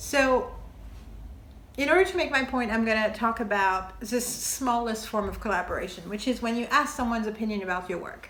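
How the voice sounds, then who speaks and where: In a French accent, a woman talks at a fairly quick pace and fairly high pitch with ordinary pitch variation, over noticeable background noise and audible room echo. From France. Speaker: TV maker and video essayist. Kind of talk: video essay monologue. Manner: casual, with hesitations.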